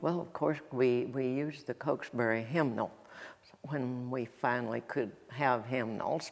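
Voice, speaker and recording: An Appalachian accent at a fairly slow pace, with music in the background. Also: woman, very deep, low pitch for a woman, ordinary pitch variation. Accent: Appalachian Southern. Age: 80s+. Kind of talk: interview answer.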